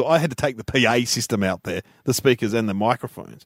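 Here a man with an Australian accent talks at a very fast pace with lively intonation. The sound is dry and close, with no echo. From Melbourne, Australia (Ringwood). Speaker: comedian. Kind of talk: casual chat.

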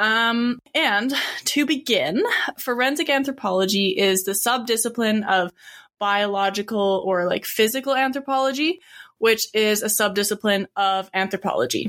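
Against a silent background in a very clean recording, a woman with an unremarkable speaking voice talks at a moderate pace, fairly high in pitch, with ordinary pitch variation and very even loudness. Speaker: student anthropologist co-host. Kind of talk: casual explanation.

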